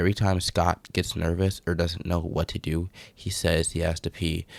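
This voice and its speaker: On a very clean recording with a silent background and a dry, close sound with no echo, a man speaks quietly at a moderate pace in a very deep, low, monotone voice with flat intonation. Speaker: gaming YouTuber. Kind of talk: video commentary breakdown. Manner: speaking quietly.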